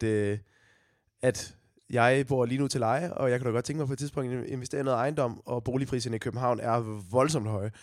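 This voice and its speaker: On a very clean recording with a silent background, a man at a medium pitch speaks at a moderate pace with ordinary pitch variation. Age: 20s. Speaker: podcast host, radio presenter. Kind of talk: casual chat. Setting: recording from home.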